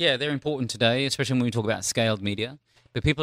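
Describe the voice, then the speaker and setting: A man with an Australian accent and lively intonation, in a dry, close sound with no echo, on a very clean recording with a silent background. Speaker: trend analyst for brands. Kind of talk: casual interview. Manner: animated.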